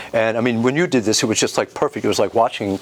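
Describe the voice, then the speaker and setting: Amid noticeable background noise, a man with an American accent and a medium-pitched voice talks at a very fast pace. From US Mid-Atlantic, Dundalk, Maryland. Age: 70s. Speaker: karate master. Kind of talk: interview conversation. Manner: animated, passionate.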